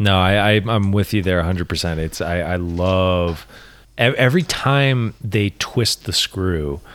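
A man's very deep, low voice with ordinary pitch variation, at a very slow pace, in a very clean recording with a silent background. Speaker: podcast co-host. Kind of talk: casual chat. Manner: halting, tripping over words.

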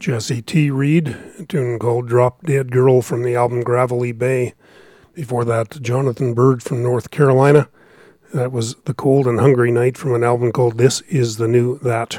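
A man's medium-pitched voice with a dark, mellow tone, fairly even intonation and a moderate pace, in a dry, close sound with no echo. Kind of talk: radio dj patter.

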